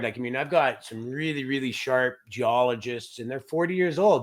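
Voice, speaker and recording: With a Canadian accent and a plain, everyday voice, a man talks at a moderate pace with ordinary pitch variation on a very clean recording with a silent background. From Canada. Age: 50s. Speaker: mining company executive. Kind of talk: interview.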